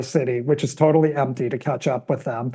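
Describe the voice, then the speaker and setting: A man with an American accent and a dark, mellow, somewhat breathy tone speaks fairly quickly at a medium pitch with fairly even intonation. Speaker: television producer. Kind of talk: casual chat. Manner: soft-spoken.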